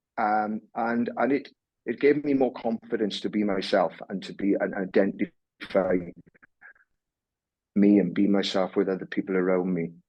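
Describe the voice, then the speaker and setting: A man speaks at a moderate pace in a fairly low voice with ordinary pitch variation. His long pauses come often. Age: 60s. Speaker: former sports and corporate leader. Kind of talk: interview. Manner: halting, many repeated words.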